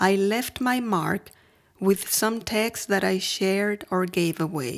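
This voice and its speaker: In a very clean recording with a silent background, a woman with a Mexican accent speaks at a medium pitch and a very slow pace, with ordinary pitch variation. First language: Spanish. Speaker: podcaster. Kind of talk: scripted narration.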